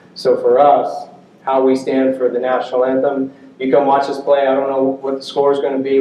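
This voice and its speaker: A man speaks at a moderate pace in a medium pitch. Noticeable background noise and audible room echo surround him. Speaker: college baseball head coach. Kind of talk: coaching clinic talk. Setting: stage with audience.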